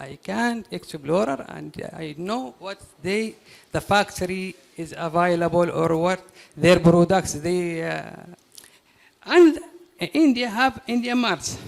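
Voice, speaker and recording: With a Yemeni accent, a man speaks very slowly at a high pitch, using lively intonation, big swings in loudness and long, frequent pauses amid noticeable background noise. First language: Arabic. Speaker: audience member, businessman. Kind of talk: audience question. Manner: halting.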